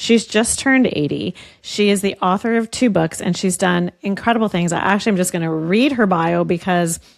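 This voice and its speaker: In a normal speaking voice, a woman talks at a fairly quick pace with lively intonation. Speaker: podcast host. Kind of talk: podcast interview questions.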